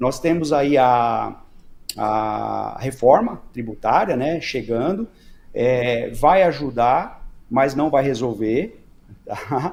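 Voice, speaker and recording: This man keeps a medium pitch while talking at a very slow pace. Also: ordinary pitch variation. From Brazil. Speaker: business consultant and company founder. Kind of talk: podcast interview.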